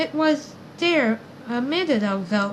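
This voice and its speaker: Speaking in a squeaky, high-pitched put-on character voice, a woman talks at a fairly slow pace. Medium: read story.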